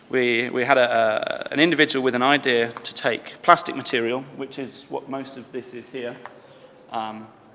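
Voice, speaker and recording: A man's medium-pitched voice at a moderate pace, with fairly even intonation, big swings in loudness and noticeable background noise. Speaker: project manager of a recycling company. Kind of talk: conference presentation.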